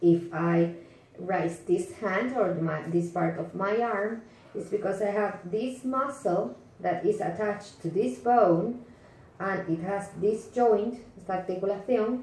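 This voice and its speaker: A woman with a Spanish accent at a medium pitch, fairly slow pace and ordinary pitch variation, amid audible room echo and noticeable background noise. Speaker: teacher. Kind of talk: lecture. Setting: home. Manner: halting.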